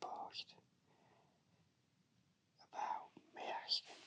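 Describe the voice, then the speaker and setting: A man is whispering. His words come out in a whisper. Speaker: shiatsu therapist. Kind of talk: whispered ASMR personal story. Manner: whispered, soft-spoken.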